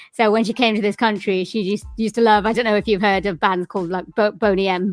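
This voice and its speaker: Music plays behind a woman who speaks at a fairly high pitch in a Welsh accent. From Swansea, Wales. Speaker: musician and voiceover coach. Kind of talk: interview answer. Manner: casual, chatty.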